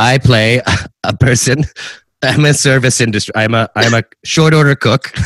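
Moderately paced speech with fairly even intonation and long, frequent pauses, in a dry, close sound with no echo. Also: man, medium pitch for a man. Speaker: comedian and actor. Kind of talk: casual chat.

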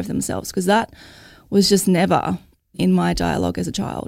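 A woman with an Australian accent talks at a moderate pace. The recording is very clean, with a silent background. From Logan, Queensland, Australia. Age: 30s. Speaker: mother and mental health advocate. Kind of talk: interview.

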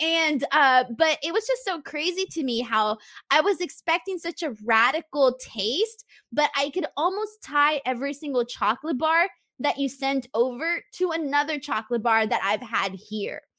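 A raised, projected woman's voice, high-pitched and bright and sharp in tone, at a moderate pace, dry and close with no echo. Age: 20s. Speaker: wrestling YouTuber. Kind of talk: casual chat.

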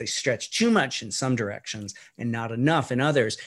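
Against a quiet background, a man with a plain, everyday voice speaks at medium pitch. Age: 50s. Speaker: stem cell physician. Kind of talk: interview. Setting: remote call.

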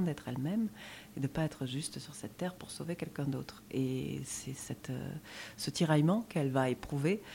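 A woman talks in a very deep, low pitch. Her intonation is lively and her pace moderate. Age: 30s. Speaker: theatre director. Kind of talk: interview.

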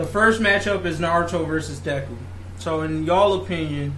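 A man speaks with very wide pitch swings. Noticeable background noise and audible room echo fill the recording. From Africa. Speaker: podcast host. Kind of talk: casual chat.

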